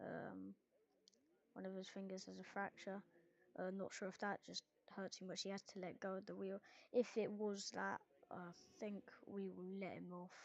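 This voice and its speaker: A woman speaks at a moderate pace, broken by long, frequent pauses. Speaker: sim racing commentator. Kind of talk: live commentary. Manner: soft-spoken.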